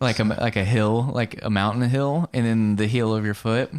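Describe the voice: A man speaks with a Southern US accent. His loudness stays very even. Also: medium pitch for a man, fairly even intonation, moderate pace. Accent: Southern American.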